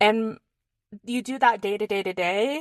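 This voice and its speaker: Recorded very cleanly against a silent background, a woman speaks at a fairly high pitch in a dry, close sound with no echo. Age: 30s. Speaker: podcast host. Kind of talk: personal monologue.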